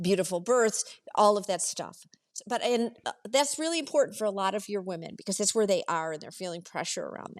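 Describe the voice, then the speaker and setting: A woman speaks in a normal speaking voice at a medium pitch, with lively intonation. Her pace is fairly quick, and her loudness swings widely. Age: 60s. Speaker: retired executive. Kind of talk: casual chat.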